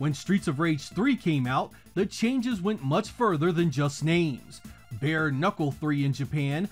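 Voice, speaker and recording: A man speaks at a moderate pace in a fairly high voice with very wide pitch swings. Music plays in the background. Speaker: retro game reviewer. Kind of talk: scripted video game review narration.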